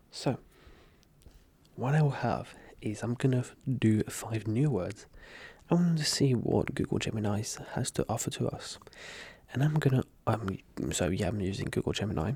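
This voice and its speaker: A man with a dark, mellow, somewhat breathy tone talks at a medium pitch and a moderate pace. His intonation is lively, broken by long, frequent pauses. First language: French. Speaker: ASMR youtuber. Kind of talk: casual ASMR chat.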